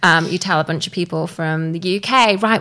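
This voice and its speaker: This woman has a fairly low pitch and a bright, sharp tone with vocal fry, speaking at a moderate pace with fairly even intonation. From southern England (Bournemouth). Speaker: storytelling business co-founder. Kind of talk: interview.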